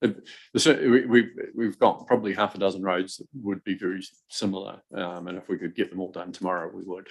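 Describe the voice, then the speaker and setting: Talking at a very fast pace, a man uses a very deep, low pitch, fairly even intonation and big swings in loudness. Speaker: council meeting chair. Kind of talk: public hearing.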